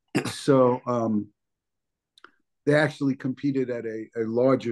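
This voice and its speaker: Medium-pitched male speech, dark and mellow, its intonation fairly even. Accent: New Jersey. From New Jersey, US. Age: 60s. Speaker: bodybuilder. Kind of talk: interview.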